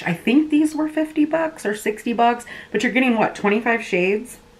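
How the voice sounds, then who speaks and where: A woman speaks over noticeable background noise. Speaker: beauty youtuber. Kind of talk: product review vlog. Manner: fast; casual, filler-heavy.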